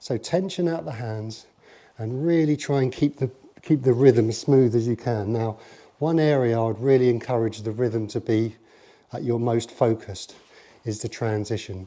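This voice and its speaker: This man speaks at a moderate pace in a dark, mellow tone, with medium pitch, ordinary pitch variation and a quiet background. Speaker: golf coach. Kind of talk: tutorial.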